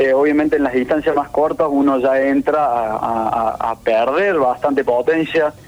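A man speaks at a fairly slow pace with hardly any pauses, his fairly high voice holding very even loudness and fairly even intonation over noticeable background noise. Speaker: competitive swimmer. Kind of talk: interview.

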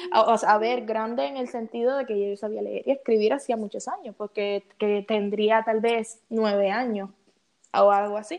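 This is a plain, everyday voice moving at a moderate pace with ordinary pitch variation. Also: woman, fairly high pitch for a woman. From Cuba. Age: 20s. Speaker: artist. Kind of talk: interview.

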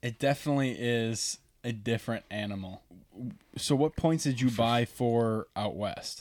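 Using a plain, everyday voice, a man talks at a medium pitch and fairly slow pace with ordinary pitch variation, recorded very cleanly against a silent background. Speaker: podcast co-host. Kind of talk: casual banter. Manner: joking, profane.

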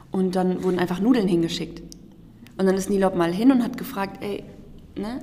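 Audible room echo and noticeable background noise surround a woman speaking. She keeps a moderate pace with long, frequent pauses. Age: 20s. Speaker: volunteer aid worker. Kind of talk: podcast interview.

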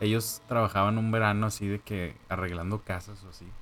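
A man speaks at a moderate pace, his pitch fairly low. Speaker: podcast co-host. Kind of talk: casual chat.

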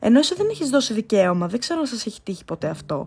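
Her voice is high-pitched and animated. The woman's pitch swings very widely. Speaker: podcast host. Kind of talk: casual monologue.

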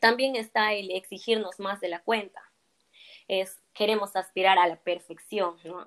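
A woman with a medium pitch speaks slowly in a plain, everyday voice, her intonation fairly even but her loudness swinging widely. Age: 20s. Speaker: psychology graduate. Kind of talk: interview.

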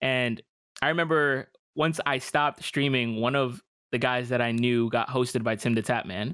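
In an American accent, a man with a bright, sharp tone keeps his loudness very even and his intonation fairly even on a very clean recording with a silent background. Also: medium pitch for a man, moderate pace. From New York. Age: 20s. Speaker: streamer. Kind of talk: casual chat.

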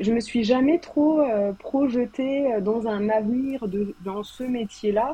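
Calm in tone, a woman speaks at a very slow pace with hardly any pauses. Her pitch is fairly high and varies in an ordinary way. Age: 30s. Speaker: novelist. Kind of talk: casual chat. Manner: soft-spoken.

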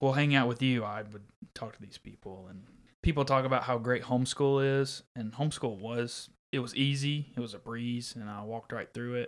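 A man with an American accent and a plain, everyday voice, medium in pitch, at a moderate pace, with fairly even intonation and big swings in loudness, on a very clean recording against a silent background. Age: 20s. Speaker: podcast co-host. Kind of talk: casual chat.

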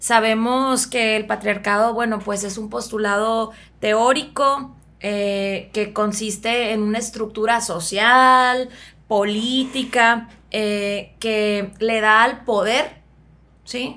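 A woman's fairly high, bright and sharp voice, very slow and monotone with flat intonation. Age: 30s. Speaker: psychotherapist. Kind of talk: casual chat.

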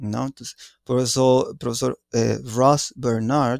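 A man with a Spanish accent talks at a fairly slow pace and medium pitch. The recording is very clean with a silent background and a dry, close sound with no echo. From Mexico, Mexico City. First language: Spanish (speaking Portuguese). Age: 40s. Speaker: anthropology professor. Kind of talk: interview. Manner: halting.

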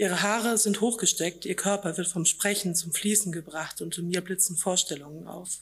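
Using a plain, everyday voice, a woman speaks at a medium pitch and moderate pace with fairly even intonation. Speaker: author. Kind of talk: reading aloud. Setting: stage with audience.

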